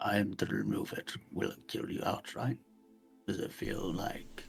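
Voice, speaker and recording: A man's raspy, put-on character voice at a moderate pace, with faint music in the background. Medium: actual play. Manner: earnest, measured.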